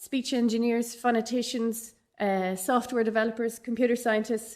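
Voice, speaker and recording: This woman speaks in a fairly high pitch with monotone, flat intonation. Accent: Dublin. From Ireland, Dublin. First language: Irish. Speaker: professor. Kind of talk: conference keynote.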